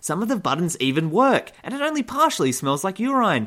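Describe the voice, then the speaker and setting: Recorded very cleanly against a silent background, a man with an Australian accent talks at a fairly quick pace in a bright, sharp tone with lively intonation. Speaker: satirical news host. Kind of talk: comedic news parody.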